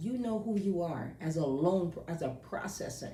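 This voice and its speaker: An animated tone with lively intonation in an American accent, amid audible room echo. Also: woman. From New York. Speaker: loan processor. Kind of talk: casual advice monologue.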